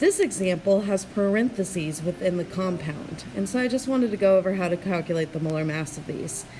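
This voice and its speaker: At a moderate pace and medium pitch, a woman speaks with ordinary pitch variation over noticeable background noise. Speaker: chemistry teacher. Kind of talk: tutorial. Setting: screencast.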